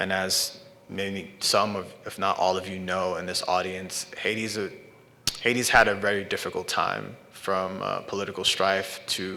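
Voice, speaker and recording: A man with an American accent talks at a fairly low pitch in a flat monotone. Noticeable background noise sits behind him. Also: fairly slow pace. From New York, Brooklyn. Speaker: artist and filmmaker. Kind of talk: artist talk. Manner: halting.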